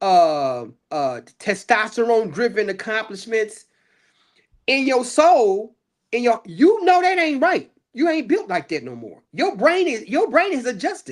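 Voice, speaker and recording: A man's extremely high pitch with very wide pitch swings, big swings in loudness, and a fairly slow pace, on a very clean recording with a silent background. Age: 60s. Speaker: guest expert on aging. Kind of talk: casual chat.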